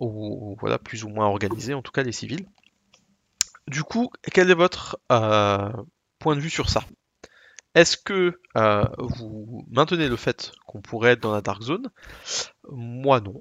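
A man with a medium-pitched voice speaks very slowly, leaving long, frequent pauses. His intonation is lively and his loudness swings widely. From Alsace, France. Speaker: gaming podcast co-host. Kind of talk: casual chat.

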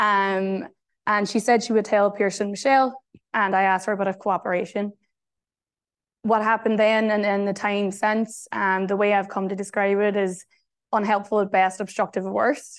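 A woman's medium-pitched voice in a Northern Irish accent, monotone and flat, with very even loudness, a moderate pace and a quiet background. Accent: Derry (Northern Irish). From Northern Ireland, Derry. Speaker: journalist and author. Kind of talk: keynote talk. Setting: venue with live audience.

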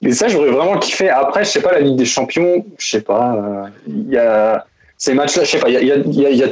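A normal speaking voice from a man, fairly high in pitch, fairly quick, with lively intonation. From Alsace, France. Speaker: listener guest, architect. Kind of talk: casual chat. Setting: video call. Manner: casual, slangy.

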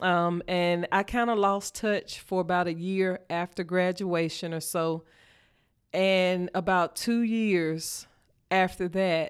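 In a very clean recording with a silent background, a woman with a Mississippi accent speaks in a monotone, flat way at a medium pitch. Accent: Mississippi Southern. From US South, northeast Mississippi. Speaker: school principal. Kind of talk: interview.

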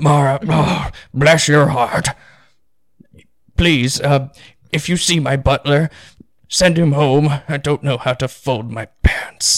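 In a put-on character voice, a man speaks at a fairly high pitch and a fairly slow pace, with fairly even intonation and long, frequent pauses. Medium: actual play. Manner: old-fashioned, courteous.

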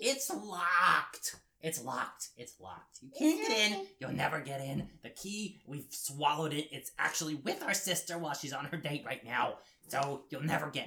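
The speaker uses a put-on character voice at a moderate pace. Long pauses come often. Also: man, fairly high pitch for a man. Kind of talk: comic villain voice for kids. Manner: taunting, gloating.

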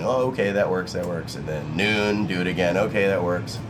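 A man's very deep, low voice at a moderate pace, with audible room echo and noticeable background noise. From Filipino-American. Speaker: chef and restaurant co-owner. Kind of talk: interview. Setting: restaurant.

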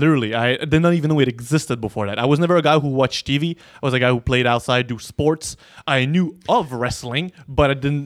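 A man with a French accent, fairly high pitch, ordinary pitch variation and a very fast pace. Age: 20s. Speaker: professional wrestler. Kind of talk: casual chat.

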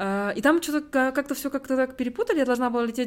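Her pitch shows ordinary variation. The woman talks very fast. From Kazakhstan. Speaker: university student abroad. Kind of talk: casual interview conversation.

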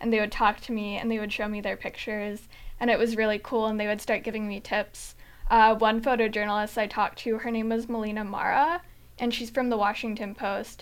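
A woman's fairly high voice, monotone and flat in intonation, at a fairly quick pace. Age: 20s. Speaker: journalism student and photographer. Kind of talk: casual chat. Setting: studio.

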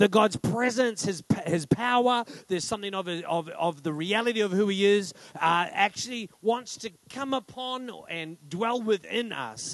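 Loud and high-pitched, a man speaks with ordinary pitch variation in a dry, close sound with no echo. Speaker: pastor. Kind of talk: sermon. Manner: fast.

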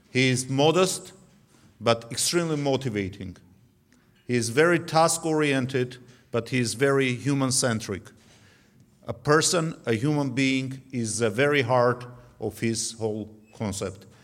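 A man with an Armenian accent talks at a fairly slow pace with long, frequent pauses, using a medium pitch and ordinary pitch variation. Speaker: former defense minister. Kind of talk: tribute speech. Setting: banquet hall.

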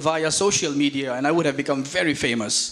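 Noticeable background noise sits under a man's voice. He talks at a moderate pace with ordinary pitch variation. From India. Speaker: visiting preacher. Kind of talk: sermon. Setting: church.

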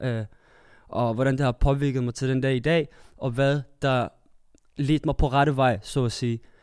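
In an unremarkable speaking voice, a man talks fairly slowly at medium pitch with fairly even intonation on a very clean recording with a silent background. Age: 20s. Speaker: theatre performer sharing personal story. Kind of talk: casual group discussion.

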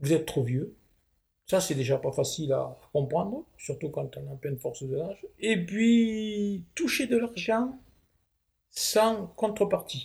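A man speaks at a very slow pace with a high pitch and very wide pitch swings. The recording is very clean, with a silent background. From southwest France. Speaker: retired manual worker. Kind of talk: interview, life story. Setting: at home.

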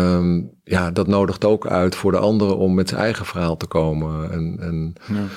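His voice has a very deep, low pitch. The man talks at a fairly slow pace. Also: very clean recording, silent background. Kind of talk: interview.

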